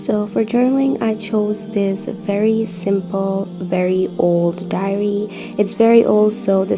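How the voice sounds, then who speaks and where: Over music in the background, a woman at medium pitch speaks with a monotone, flat intonation. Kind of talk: casual voice-over narration of a crafting video.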